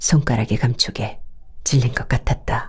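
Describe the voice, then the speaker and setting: A woman speaks in a calm tone at a fairly slow pace, her voice somewhat breathy. Her pitch is very deep and low, and her tone is dark and mellow. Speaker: audiobook narrator. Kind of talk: novel audiobook reading. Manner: calm, slow.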